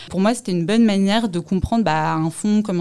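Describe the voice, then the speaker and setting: Her pitch moves in an ordinary way. The woman has a normal speaking voice and talks at a fairly quick pace. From Paris, France. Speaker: fund management analyst. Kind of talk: interview testimony.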